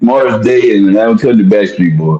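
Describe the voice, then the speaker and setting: Pitch swings very widely in this man's voice. His tone is dark and mellow. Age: 60s. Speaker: sports talk panelist. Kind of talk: casual chat.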